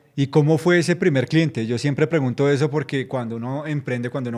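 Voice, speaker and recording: At a fairly quick pace, an unremarkable speaking voice shows ordinary pitch variation. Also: man, very clean recording, silent background. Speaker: journalist interviewer. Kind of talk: interview. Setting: studio.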